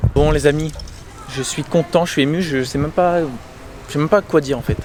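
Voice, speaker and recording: Over noticeable background noise, a man speaks in an animated tone with long, frequent pauses. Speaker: car vlogger. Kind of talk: casual vlog. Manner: animated, stammering.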